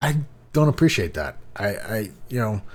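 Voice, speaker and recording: The speaker is somewhat breathy, going at a fairly slow pace with lively intonation. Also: man. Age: adult, working. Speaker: gaming YouTuber. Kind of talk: casual gaming news commentary. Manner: halting, many repeats and fillers.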